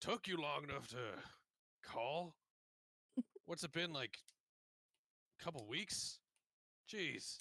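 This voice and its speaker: Gruff and in a put-on character voice, the speaker goes at a fairly slow pace with long, frequent pauses. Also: man, fairly high pitch for a man. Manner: irritated, impatient.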